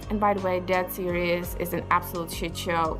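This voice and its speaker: A woman speaks at a moderate pace with a non-native accent. Music plays in the background. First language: not English. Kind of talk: casual opinion talk to camera.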